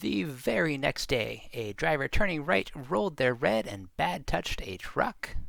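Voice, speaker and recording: A man's fairly slow speech with vocal fry and very wide pitch swings. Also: medium pitch for a man. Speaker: traffic video narrator. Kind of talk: wry documentary narration.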